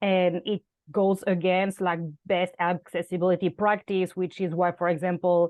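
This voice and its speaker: A woman speaks with a French accent at a medium pitch and moderate pace. Her intonation is monotone and flat, and her loudness stays very even. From France. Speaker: content strategist. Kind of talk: interview. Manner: hesitant, many fillers.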